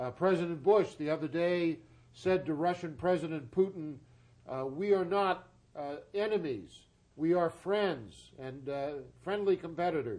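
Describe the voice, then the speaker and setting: Fairly slow speech from a man, high in pitch, with ordinary pitch variation. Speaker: TV talk show host. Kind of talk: TV interview questions.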